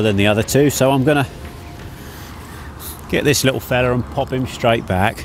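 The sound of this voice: Ordinary pitch variation at a fairly quick pace, with faint background noise. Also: man.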